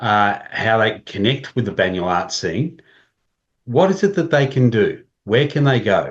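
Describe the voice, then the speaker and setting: In an Australian accent, a man speaks at a fairly slow pace and medium pitch, somewhat breathy over a quiet background. His pitch swings very widely while his loudness stays very even. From regional Australia. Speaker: podcast host. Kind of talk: casual chat.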